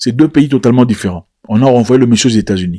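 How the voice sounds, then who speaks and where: Animated in tone, a man speaks at a very fast pace in a medium pitch with ordinary pitch variation. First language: not French (speaking French). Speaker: political commentator. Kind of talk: video commentary.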